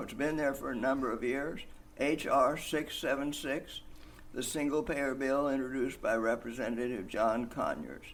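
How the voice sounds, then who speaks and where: With audible room echo, a man's fairly high voice moves at a moderate pace with ordinary pitch variation. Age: 90s. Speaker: single-payer healthcare advocate. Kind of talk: interview.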